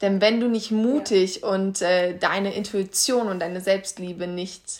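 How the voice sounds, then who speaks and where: Speaking very slowly, a woman keeps her voice at a medium pitch. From Kassel, Germany. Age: 20s. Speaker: podcast co-host, life coach. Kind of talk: casual chat.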